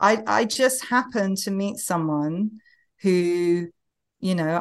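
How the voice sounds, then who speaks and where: In an English accent, a woman talks at a medium pitch with ordinary pitch variation. The background is quiet. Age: 40s. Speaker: novelist. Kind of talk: casual chat. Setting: video call. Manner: repeats words when starting sentences.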